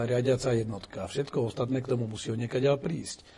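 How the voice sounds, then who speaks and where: Over noticeable background noise, the words rush out at a very fast pace. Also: man. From Slovakia. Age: 50s. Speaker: retired general turned politician. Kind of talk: interview.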